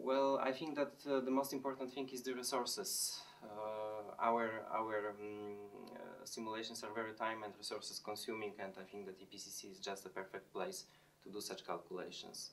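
With a Polish accent, a man speaks at a moderate pace and medium pitch. His pitch variation is ordinary, and there is light background noise. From Poland. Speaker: chemistry lecturer. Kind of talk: interview answers. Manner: halting, with fillers. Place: office.

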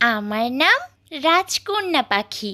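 Putting on a cartoonish character voice, a woman speaks at a high pitch with very wide pitch swings. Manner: sweet, tender.

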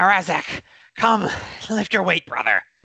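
A put-on character voice comes through, raspy in texture. It sits at a middle pitch. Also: moderate pace.

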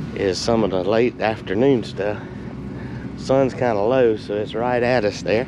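Noticeable background noise runs behind a man's voice. He speaks at a very slow pace with fairly even intonation. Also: dry sound with no echo. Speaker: equipment channel vlogger. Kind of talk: casual vlog chat. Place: open country. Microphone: phone near.

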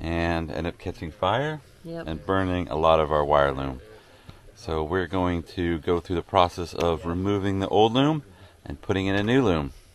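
A man speaks at a moderate pace with a very deep, low pitch and ordinary pitch variation. The sound is dry, with no echo. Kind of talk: casual vlog chat and tutorial. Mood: upbeat, amused. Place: garden. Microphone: phone near.

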